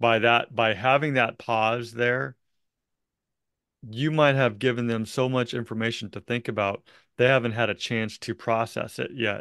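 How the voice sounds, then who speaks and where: A man speaks at a fairly slow pace and medium pitch, with ordinary pitch variation. The sound is dry and close with no echo, and the background is quiet. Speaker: real estate coach and podcast host. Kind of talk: coaching conversation.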